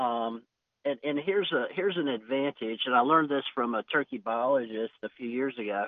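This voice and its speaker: A man with an ordinary speaking voice talks at a medium pitch and a fairly quick pace, with ordinary pitch variation. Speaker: cattle rancher and hunting land owner. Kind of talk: casual chat.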